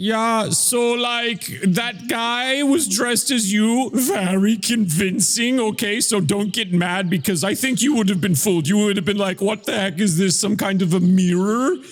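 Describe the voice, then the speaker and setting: A man uses a put-on character voice, high in pitch with ordinary pitch variation. He keeps a moderate pace with hardly any pauses and very even loudness over light background noise. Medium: actual play. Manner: casual, rambling, laid-back.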